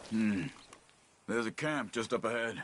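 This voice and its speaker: A man in a put-on character voice sounds raspy, with a calm tone, a medium pitch, ordinary pitch variation and a moderate pace. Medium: video game. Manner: calm, measured.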